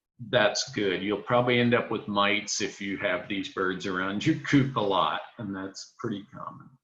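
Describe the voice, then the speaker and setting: Audible room echo carries a man's bright, sharp tone. He talks at a fairly slow pace with ordinary pitch variation. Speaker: poultry specialist. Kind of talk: lecture.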